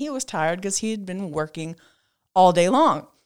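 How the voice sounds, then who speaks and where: A woman speaks loudly at a fairly quick pace, her tone bright and sharp and her pitch swinging very widely. The recording is very clean, with a silent background. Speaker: podcast co-host. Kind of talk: casual chat.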